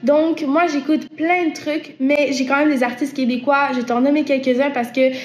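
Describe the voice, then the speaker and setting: Over noticeable background noise and audible room echo, a woman speaks at a moderate pace in a high pitch with monotone, flat intonation. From Quebec. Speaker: singer-songwriter. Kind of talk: interview answering viewer questions. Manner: hesitant, many repetitions and fillers.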